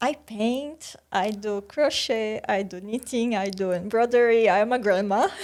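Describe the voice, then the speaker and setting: A woman with a Portuguese accent speaks at a fairly slow pace and a fairly high pitch, with hardly any pauses. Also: ordinary pitch variation. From Brazil, countryside. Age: 30s. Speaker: PhD student. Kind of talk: podcast interview.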